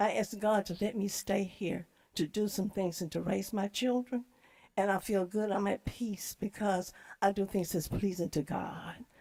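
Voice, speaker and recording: With an ordinary speaking voice, a woman at medium pitch talks at a moderate pace with fairly even intonation. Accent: American. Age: 60s. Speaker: public commenter. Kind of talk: public comment at a meeting.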